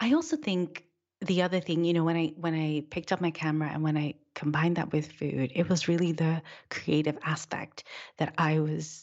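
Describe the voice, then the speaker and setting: Speaking at a moderate pace, this woman has a very deep, low pitch and fairly even intonation. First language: not English. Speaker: food stylist and photographer, author. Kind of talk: casual interview.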